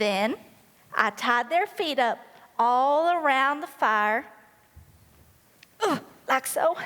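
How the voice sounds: At a slow pace, a woman performs a put-on character voice that is pitched high, with a fairly bright tone and lively intonation.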